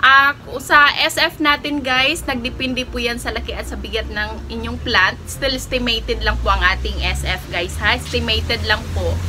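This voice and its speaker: A woman talks at a moderate pace with hardly any pauses while music plays in the background. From Philippines. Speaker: online plant seller and vlogger. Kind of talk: live selling vlog. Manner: halting, many fillers.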